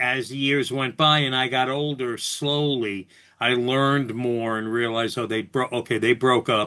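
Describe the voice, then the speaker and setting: In a New York accent, a man talks at a moderate pace and a medium pitch, his intonation fairly even. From New York City (Bronx). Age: 60s. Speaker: radio host, podcast guest. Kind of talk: casual interview chat.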